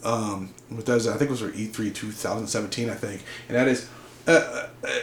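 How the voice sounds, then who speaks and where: Audible room echo and noticeable background noise accompany a man's medium-pitched voice. He talks at a fairly quick pace with fairly even intonation. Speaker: gaming YouTuber. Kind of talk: rant. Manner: fast; halting, repeats words.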